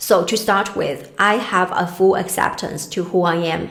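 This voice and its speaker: A woman with a Chinese accent speaks at a moderate pace in a medium pitch with ordinary pitch variation, amid noticeable background noise and audible room echo. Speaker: career coach. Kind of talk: talking-head advice video.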